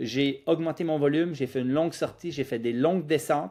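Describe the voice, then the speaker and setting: An unremarkable speaking voice moves at a fairly quick pace. Its pitch varies in an ordinary way, on a very clean recording with a silent background. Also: man. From Quebec, Lac-Saint-Jean (immigrated at 10). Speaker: physiotherapist, running clinic founder. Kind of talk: podcast interview.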